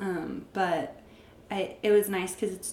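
Amid noticeable background noise and audible room echo, a woman speaks with an American accent. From Arizona. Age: 20s. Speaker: esthetician. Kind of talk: casual chat.

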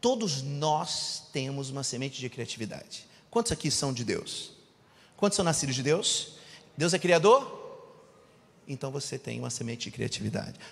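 A man's fairly high, somewhat breathy voice with lively intonation, a moderate pace and long, frequent pauses. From Rio de Janeiro, Brazil. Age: 40s. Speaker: preacher and business mentor. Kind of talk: sermon.

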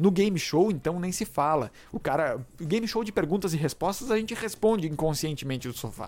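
The speech moves at a fairly quick pace with hardly any pauses. The intonation is lively. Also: man, high pitch for a man. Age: 30s. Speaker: podcast host. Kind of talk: solo podcast monologue. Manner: halting, with frequent fillers.

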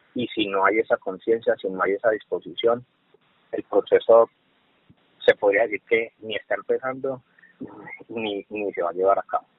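Moderate pace from a man, broken by long, frequent pauses. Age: 30s. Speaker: social worker, HR manager. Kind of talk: casual interview.

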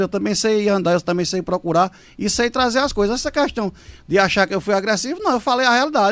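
His pace is fairly quick and his intonation lively. The man's voice is high-pitched. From Pernambuco sertão, Brazil. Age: 40s. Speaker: city councillor. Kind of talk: radio interview. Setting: studio.

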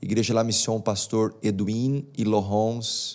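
A man's medium-pitched voice at a very slow pace. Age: 30s. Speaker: pastor. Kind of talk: casual interview.

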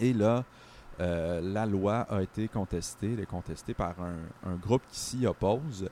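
The sound is dry and close with no echo as a man talks at a fairly slow pace, his pitch fairly low with ordinary variation. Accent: Quebec. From Quebec, Sherbrooke. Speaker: political columnist. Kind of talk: conversational commentary. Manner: halting.

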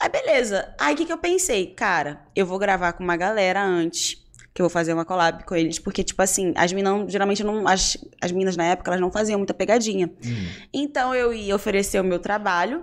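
Someone with a Rio de Janeiro accent speaks at a fairly quick pace on a very clean recording with a silent background. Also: woman, medium pitch for a woman, ordinary pitch variation. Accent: carioca. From Rio de Janeiro, Brazil. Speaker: influencer. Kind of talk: casual chat.

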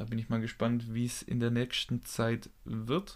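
This man talks at a fairly slow pace in a medium pitch. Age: 20s. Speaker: physiotherapy trainee and podcast co-host. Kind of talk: casual chat.

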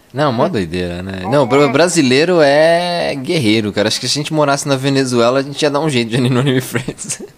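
Over noticeable background noise, a man with a fairly high pitch talks at a very fast pace with lively intonation and hardly any pauses. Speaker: podcast host. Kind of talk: casual chat.

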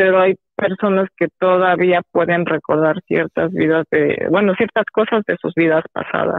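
A woman speaks at a fairly slow pace in a fairly low pitch. Her intonation is monotone and flat. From Mexico. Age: 30s. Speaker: psychologist. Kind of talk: phone-in interview.

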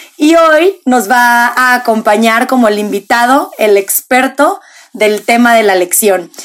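Speaking at a very slow pace, a woman uses a high pitch and lively intonation while her loudness stays very even. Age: 20s. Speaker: podcast host. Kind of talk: casual chat.

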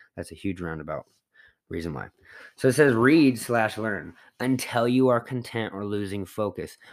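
This is a man with a normal speaking voice. He talks at a moderate pace with lively intonation. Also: medium pitch for a man, very clean recording, silent background. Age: 30s. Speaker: fitness podcast host. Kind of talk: casual solo monologue. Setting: studio.

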